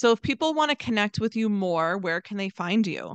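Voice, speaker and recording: A woman with an American accent speaks in a medium-pitched, bright, sharp tone, recorded dry and close with no echo. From Philadelphia area, Pennsylvania. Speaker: podcast host, social media marketer. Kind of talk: casual interview. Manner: animated.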